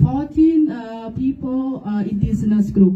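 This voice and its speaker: A woman with a Vietnamese accent speaks in a somewhat breathy, dark, mellow tone, with audible room echo. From Vietnam, Central Highlands (Jarai). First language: Jarai. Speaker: presenter on her culture. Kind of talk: class presentation. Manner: halting, many fillers.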